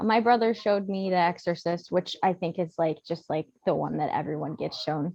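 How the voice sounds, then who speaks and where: This woman speaks with an American accent. Her pace is moderate. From USA. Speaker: podcast guest, horror fan. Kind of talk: casual chat.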